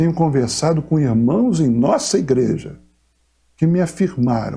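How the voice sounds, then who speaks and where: The delivery is fairly slow, with a dark, mellow tone and vocal fry. The intonation is lively. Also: man. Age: 60s. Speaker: pastor. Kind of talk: pastoral message to congregation. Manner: formal.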